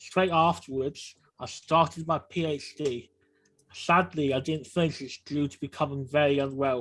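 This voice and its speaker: At a moderate pace, a normal speaking voice delivers fairly even intonation against a quiet background. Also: man, fairly high pitch for a man. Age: 40s. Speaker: person with lived experience sharing story. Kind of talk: personal testimony.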